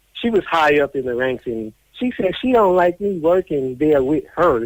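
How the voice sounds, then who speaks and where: A man with an American accent talks at a moderate pace in a plain, everyday voice, his intonation lively and the sound dry and close with no echo. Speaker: deportee telling life story. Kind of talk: interview testimony.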